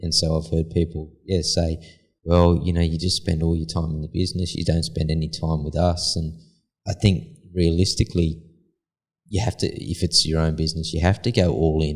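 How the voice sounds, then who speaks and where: A man's somewhat breathy, very deep, low-pitched voice with an Australian accent. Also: fairly even intonation, moderate pace. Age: 40s. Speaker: concrete polisher, business owner. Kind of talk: casual interview.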